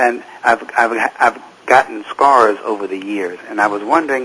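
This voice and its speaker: Noticeable background noise runs behind a man who talks at a fairly slow pace. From United States. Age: 60s. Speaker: studio audience member. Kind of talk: TV talk show interview.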